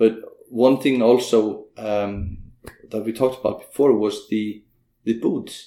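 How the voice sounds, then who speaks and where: With an Icelandic accent, a man speaks at a medium pitch in a dark, mellow tone, at a fairly slow pace with fairly even intonation. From Iceland (Vík, south coast). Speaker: business owner and horseman. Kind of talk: interview. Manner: halting, many fillers.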